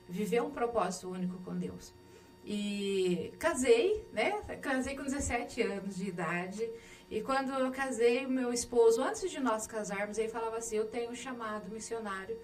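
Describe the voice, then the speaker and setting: In a room with audible echo, a woman with a Minas Gerais accent talks at a fairly high pitch and a moderate pace. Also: ordinary pitch variation. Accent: mineiro. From Minas Gerais, Brazil (Andradas). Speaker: missionary and local official. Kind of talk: interview.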